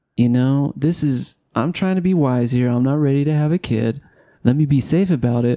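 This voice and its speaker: This man, with an American accent, has a fairly high pitch, a dark, mellow tone, ordinary pitch variation, very even loudness and a moderate pace. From Southern California. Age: 30s. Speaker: podcast host. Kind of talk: casual chat. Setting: home studio with camera.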